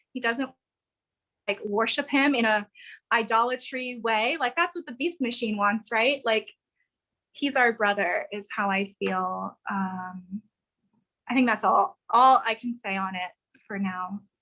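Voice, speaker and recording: This woman's voice sits fairly high, with ordinary pitch variation. She talks at a fairly slow pace, leaving long, frequent pauses. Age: 30s. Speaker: spiritual teacher. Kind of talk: live Q and A interview. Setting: live stream video call.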